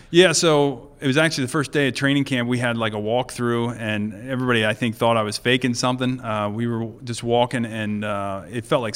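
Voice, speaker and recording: An ordinary speaking voice, this man talks at a fairly quick pace with a medium pitch, ordinary pitch variation, hardly any pauses, and an American accent. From Lancaster County, Pennsylvania. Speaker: retired pro football player. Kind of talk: interview.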